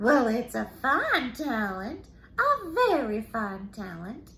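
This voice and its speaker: Using a put-on character voice, a woman speaks at a fairly high pitch and a very slow pace. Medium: read story. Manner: folksy, storytelling, peppered with yes ma'am.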